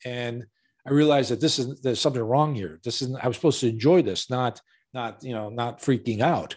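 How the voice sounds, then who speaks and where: A man's ordinary speaking voice with an American accent, ordinary pitch variation, and a very clean recording over a silent background. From Chicago, US Midwest. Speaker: real estate investor. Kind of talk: interview.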